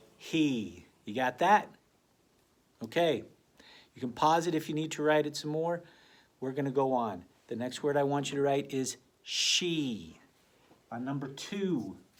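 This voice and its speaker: A man speaks at a fairly slow pace, broken by long, frequent pauses. His fairly high voice has an animated tone and lively intonation. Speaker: elementary school teacher. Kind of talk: tutorial.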